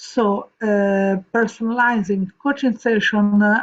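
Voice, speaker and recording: Speaking very slowly in an Italian accent, a woman keeps a medium pitch. Her intonation stays fairly even. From Italy, Rome. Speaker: vocal coach. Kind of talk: reading aloud. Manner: halting.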